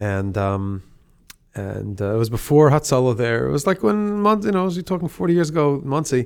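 Man with an American accent and an unremarkable speaking voice, lively intonation, and a moderate pace, in a very clean recording with a silent background. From US Northeast, Rockland County, New York. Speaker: rabbi, educator and author. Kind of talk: casual interview.

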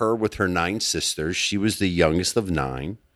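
A man with an American accent and a plain, everyday voice, lively intonation at a moderate pace, on a very clean recording with a silent background. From US-born, Palestinian family. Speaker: entrepreneur. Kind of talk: casual chat. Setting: barn.

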